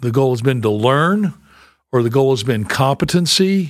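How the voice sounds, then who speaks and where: A man with an American accent, a normal speaking voice of medium pitch and a fairly slow pace, on a very clean recording with a silent background. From US South, Memphis, Tennessee. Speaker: pastor and church planter. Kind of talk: interview. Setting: on site at a conference.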